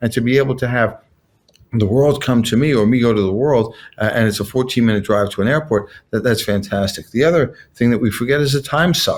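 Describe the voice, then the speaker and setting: A normal speaking voice from a man at medium pitch and a fairly quick pace, with very even loudness, ordinary pitch variation and a very clean recording with a silent background. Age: 60s. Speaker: car dealership partner. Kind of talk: casual chat.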